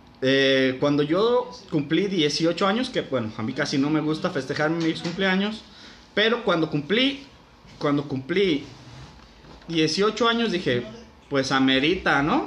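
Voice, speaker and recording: A man speaks very slowly in a fairly high voice with lively intonation. His loudness stays very even, with noticeable background noise behind him. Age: 20s. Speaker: podcast host. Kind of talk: casual storytelling.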